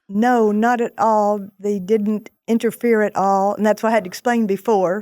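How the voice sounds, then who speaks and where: A woman with a Texan accent speaks in a monotone with a dark, mellow tone. The very clean recording has a silent background and a dry, close sound with no echo. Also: fairly high pitch for a woman, moderate pace. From Texas (Houston). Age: 70s. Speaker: small business owner. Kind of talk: casual interview chat. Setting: studio.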